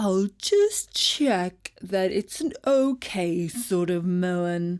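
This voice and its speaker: In a whiny, put-on character voice that sounds female, the speaker talks at a middle pitch and a very slow pace. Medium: read story. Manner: whiny, wheedling.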